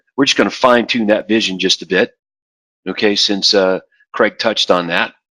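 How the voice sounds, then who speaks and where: A man's voice has a bright, sharp tone, recorded dry and close with no echo against a quiet background. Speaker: real estate business coach. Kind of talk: tutorial. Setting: office, screen recording. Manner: fast.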